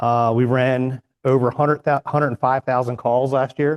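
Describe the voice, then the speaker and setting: A man at medium pitch, in an unremarkable speaking voice with fairly even intonation, moderate pace and a dry, close sound with no echo. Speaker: fire department captain. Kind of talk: presentation.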